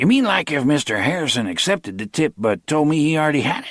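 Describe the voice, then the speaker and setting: At a very fast pace, a man does a put-on character voice with a fairly high pitch. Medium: read story. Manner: eager, impressionable.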